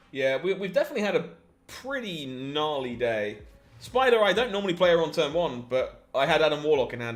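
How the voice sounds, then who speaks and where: A man with an English accent speaks at a fairly quick pace. His fairly high pitch moves in very wide swings. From England. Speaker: game streamer. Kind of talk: live gameplay commentary. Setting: live stream.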